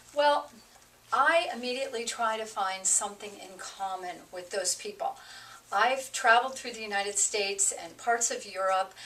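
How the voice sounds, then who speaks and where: A woman with an American accent talks at a moderate pace with a fairly high pitch and ordinary pitch variation. Her loudness swings widely, and background noise is noticeable. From New Jersey. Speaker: real estate agent. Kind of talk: casual interview chat. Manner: talkative.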